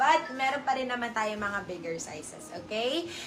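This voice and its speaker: Against noticeable background noise, a woman talks at a fairly slow pace with a fairly high pitch. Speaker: online live seller. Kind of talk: live selling stream. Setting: live stream. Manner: deliberately soft, subdued speaking.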